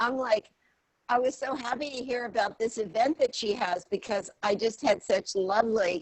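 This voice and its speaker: A woman with an American accent speaks at a fairly slow pace in a fairly high pitch, her intonation lively. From Virginia, near Washington DC. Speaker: former realtor. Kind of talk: self-introduction. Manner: halting.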